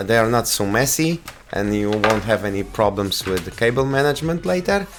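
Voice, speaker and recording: Noticeable background noise runs under the recording. A man with a Polish accent speaks at a fairly low pitch and a moderate pace. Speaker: tech reviewer. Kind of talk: product review. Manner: halting.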